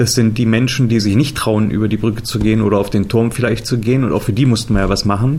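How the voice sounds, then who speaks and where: A man talks at a very fast pace with hardly any pauses, medium pitch, fairly even intonation and very even loudness. Noticeable background noise and audible room echo are present. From Germany, Harz region (Saxony-Anhalt). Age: 40s. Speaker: adventure park founder and managing director. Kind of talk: interview.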